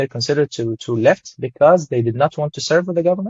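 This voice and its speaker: Somewhat breathy, a man speaks with an Arabic accent and ordinary pitch variation. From Syria. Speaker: photographer. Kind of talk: interview. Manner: halting, with many repetitions.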